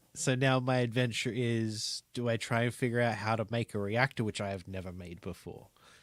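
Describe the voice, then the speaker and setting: Mumbling at a moderate pace, a man with a medium pitch and ordinary pitch variation is heard on a very clean recording with a silent background. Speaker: gaming streamer. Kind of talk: live gaming stream commentary.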